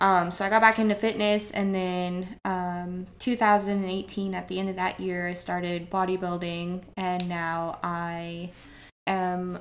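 A woman's medium-pitched voice in an American accent, flat and monotone, at a very slow pace. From Northern Idaho. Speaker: bodybuilder and entrepreneur. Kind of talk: casual interview chat.

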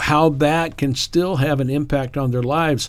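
A relaxed man with an American accent, moderate pace and ordinary pitch variation. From Appalachia, eastern Kentucky, then Indiana from age ten. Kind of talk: unscripted devotional monologue. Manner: relaxed, conversational with fillers.

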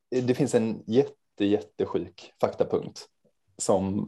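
A man is heard against a quiet background. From Sweden, Helsingborg (Skåne). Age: 20s. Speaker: charity organisation representative. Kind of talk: interview.

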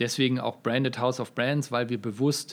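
Fairly even intonation and a moderate pace in a man's mid-range voice. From Münster, North Rhine-Westphalia, Germany. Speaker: brand management executive. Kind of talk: podcast interview. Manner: frequent filler hesitations.

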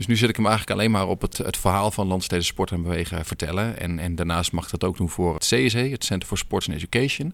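A man with a very deep, low voice talks at a very fast pace. His pitch varies in an ordinary way. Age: 30s. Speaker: teacher and filmmaker. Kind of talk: casual interview. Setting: sports hall. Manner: hesitant, many fillers.

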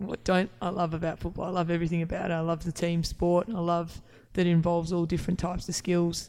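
A woman with an Australian accent, her fairly low, dark and mellow voice very fast and in a flat monotone. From Canberra, Australia. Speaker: footballer. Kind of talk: casual chat. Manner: long-winded.

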